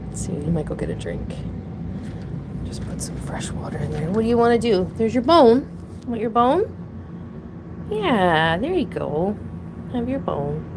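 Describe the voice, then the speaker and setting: At a moderate pace, a woman talks with long, frequent pauses, with audible room echo and noticeable background noise. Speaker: pet owner streaming about her opossums. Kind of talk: casual livestream chat. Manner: rambling, halting with restarts.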